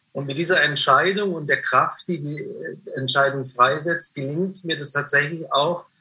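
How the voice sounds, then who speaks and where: A man with a plain, everyday voice, fairly high in pitch, speaks at a fairly slow pace with fairly even intonation. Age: 50s. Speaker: prayer house founder and author. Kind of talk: interview conversation. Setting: remote call.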